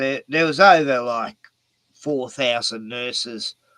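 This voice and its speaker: With an Australian accent, a man speaks at a fairly slow pace in a bright, sharp tone and lively intonation. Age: 60s. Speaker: YouTuber. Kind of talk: casual chat.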